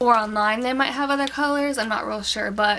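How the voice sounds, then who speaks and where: A woman's voice with fairly even intonation against noticeable background noise. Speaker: beauty vlogger. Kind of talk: product review. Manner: fast; casual, filler-heavy.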